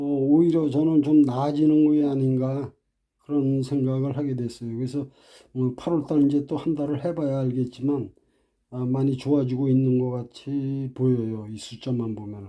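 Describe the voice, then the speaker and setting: A man speaks at a moderate pace with an unremarkable speaking voice. His pitch sits in the middle range, and his intonation stays fairly even. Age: 60s. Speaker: private taxi driver. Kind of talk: casual talk to camera.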